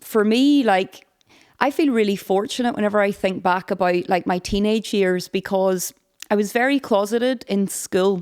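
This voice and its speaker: A woman speaks with a Northern Irish accent at a fairly slow pace, with ordinary pitch variation. The recording is very clean, with a silent background. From Northern Ireland, County Derry. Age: 30s. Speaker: podcast guest. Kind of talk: casual chat.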